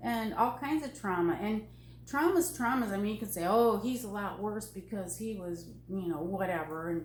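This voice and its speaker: This woman speaks at a moderate pace in a fairly high voice with lively intonation. Room echo can be heard. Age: 60s. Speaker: NLP coach. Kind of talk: casual interview.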